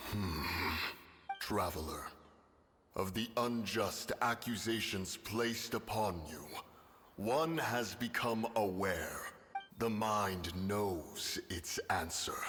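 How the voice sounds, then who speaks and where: Doing a put-on character voice at a fairly low pitch, a man moves at a very slow pace with long, frequent pauses. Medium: video game. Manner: archaic, formal, refers to self as one.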